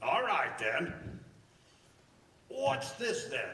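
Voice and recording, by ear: A man's put-on character voice, fairly high in pitch, with a bright, sharp tone, very wide pitch swings, vocal fry, a very slow pace and strong room echo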